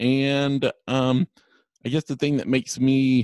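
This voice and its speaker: A man's unremarkable speaking voice at a medium pitch and fairly slow pace, dry and close with no echo. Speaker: travel agent, blind traveler. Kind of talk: interview, casual conversation.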